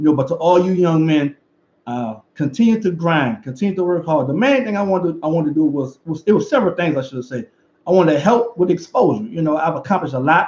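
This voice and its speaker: Talking at a very fast pace, a man with a Louisiana accent has a high pitch and lively intonation. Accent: Louisiana Southern US. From Louisiana, River Parishes. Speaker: football coach and former player. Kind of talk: video commentary and motivational message.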